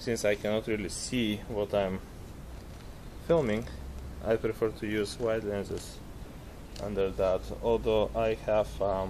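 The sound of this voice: Slowly and with long, frequent pauses, a man reads with little pitch movement. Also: fairly low pitch for a man.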